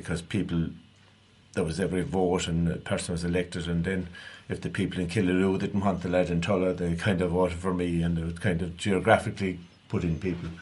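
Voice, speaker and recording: Someone talks very fast in a west of Ireland accent, with flat, monotone intonation. Room echo can be heard. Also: man, very deep, low pitch for a man. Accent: rural west of Ireland (Clare) Irish. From Ireland, East Clare. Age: 50s. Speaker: local councillor. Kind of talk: radio interview. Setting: radio studio.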